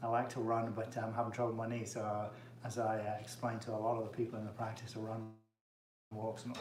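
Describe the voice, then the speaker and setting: Talking at a very fast pace, a man has an English accent. Audible room echo is present. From England. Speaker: chiropractor. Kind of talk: casual cooking livestream. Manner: casual, many fillers.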